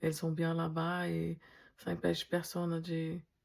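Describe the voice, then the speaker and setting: A woman talks with a non-native accent. Her recording is very clean, the background silent. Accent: foreign accent in French. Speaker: dental technician. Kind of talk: casual vlog talk to camera. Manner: hesitant, with fillers.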